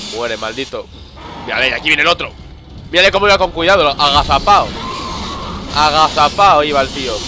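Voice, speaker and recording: A man's fairly high voice with ordinary pitch variation at a fairly quick pace, with long, frequent pauses and noticeable background noise. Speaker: gaming video creator. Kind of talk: let's play commentary. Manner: animated, exclamatory at scary moments.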